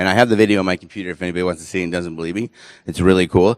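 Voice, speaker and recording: A man's very deep, low voice with fairly even intonation, the sound dry and close with no echo. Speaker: presenter on nutrition supplements. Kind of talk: lecture. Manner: fast.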